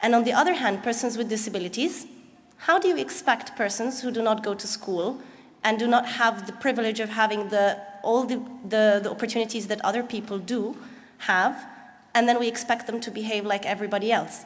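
With an Arabic accent, a woman talks at a fairly quick pace in a fairly high pitch, her pitch varying in an ordinary way. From Egypt. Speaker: nonprofit founder; speaker. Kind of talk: conference presentation. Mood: earnest, smiling. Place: hall.

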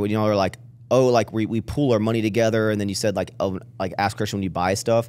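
Using a normal speaking voice, a man with an American accent talks at a fairly low pitch with fairly even intonation. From Texas. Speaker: podcast host. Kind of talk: casual chat; interview question, casual chat. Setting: studio. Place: studio. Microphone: studio mic.

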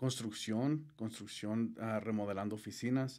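A man's dark, mellow tone at a fairly slow pace against a quiet background. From southern Colorado, US, Mexican immigrant family. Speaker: gutter installation business owner; guest. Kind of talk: interview. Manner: halting, many fillers. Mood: calm, friendly. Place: studio. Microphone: studio mic.

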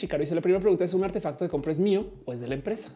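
A woman at a very fast pace and fairly low pitch, lively in intonation and animated in tone, with noticeable background noise. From Colombia. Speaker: tech streamer. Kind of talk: live stream chat.

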